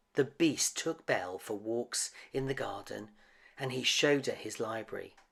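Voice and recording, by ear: A passage is being read aloud in a natural voice.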